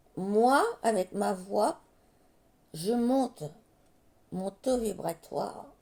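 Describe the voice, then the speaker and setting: Using long, frequent pauses, a woman talks at a very slow pace in a dark, mellow tone with lively intonation. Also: medium pitch for a woman. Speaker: card reader, medium. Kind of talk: tarot reading monologue.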